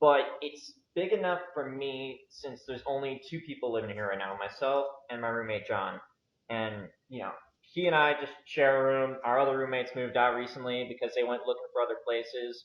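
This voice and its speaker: With an American accent, a man speaks at a fairly quick pace and medium pitch. His is an unremarkable speaking voice with ordinary pitch variation. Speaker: YouTuber interviewer. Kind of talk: interview. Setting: video call.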